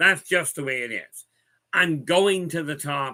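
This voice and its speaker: A man with a bright, sharp tone at a moderate pace. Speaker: spiritual guide. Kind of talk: casual livestream talk.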